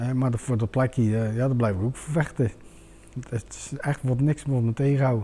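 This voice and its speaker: A man talks at a fairly quick pace with a medium pitch. Noticeable background noise sits behind him. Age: 40s. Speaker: home seeker. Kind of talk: testimony in talk show. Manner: halting.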